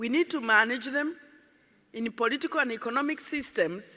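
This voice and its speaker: With a Kenyan accent, a woman speaks at a moderate pace, her tone bright and sharp and her intonation lively. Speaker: environmentalist. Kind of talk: conference speech.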